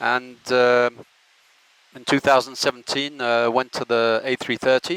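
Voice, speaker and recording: With a French accent, a man speaks at a medium pitch and fairly slow pace in monotone, flat intonation, with big swings in loudness in a dry, close sound with no echo. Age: 60s. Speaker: airline pilot. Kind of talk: informal presentation. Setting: cockpit. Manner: halting.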